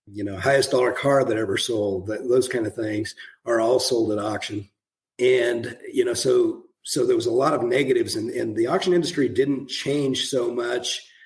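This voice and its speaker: A man with an American accent, medium pitch, a somewhat breathy quality, ordinary pitch variation and a moderate pace. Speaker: auctioneer and author. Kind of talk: interview answer.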